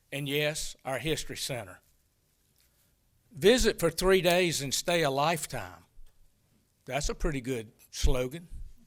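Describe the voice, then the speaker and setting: Speaking with an American accent and vocal fry, a man with a fairly high pitch moves at a fairly slow pace, using lively intonation broken by long, frequent pauses. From North Carolina, Hoke County. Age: 60s. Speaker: public commenter at city council. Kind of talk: public comment speech.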